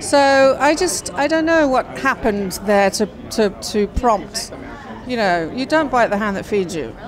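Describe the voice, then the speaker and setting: A woman's fairly high, fairly slow voice with very wide pitch swings, room echo, and crowd noise in the background. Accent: English. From England. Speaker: actress. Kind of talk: casual interview. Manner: hesitant, many fillers.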